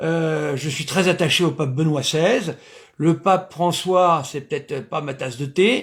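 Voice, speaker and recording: A man is talking. His voice sits fairly high, and his pitch moves in an ordinary way. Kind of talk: lecture. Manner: loud; hesitant, many fillers.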